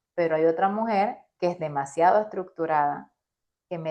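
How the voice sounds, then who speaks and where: The woman's pitch is fairly low. She keeps a moderate pace. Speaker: business coach. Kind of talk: interview. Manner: animated.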